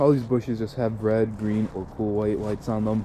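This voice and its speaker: A man talks with a fairly low pitch and fairly even intonation at a moderate pace. Noticeable background noise runs under his voice. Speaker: hobbyist showing his Christmas light display. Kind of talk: walkthrough tutorial. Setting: outdoors in cold icy weather. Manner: casual, with many fillers.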